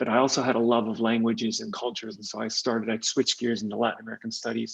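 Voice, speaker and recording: A man with a Californian accent speaks at a medium pitch. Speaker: tech executive. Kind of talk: podcast interview.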